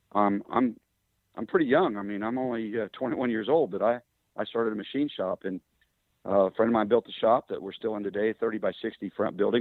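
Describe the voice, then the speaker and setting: Speaking at a fairly quick pace, a man with a Midwestern US accent uses a fairly low pitch and ordinary pitch variation. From Kansas. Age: 60s. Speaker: engine builder and drag racer. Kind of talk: interview storytelling. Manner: relaxed with frequent fillers.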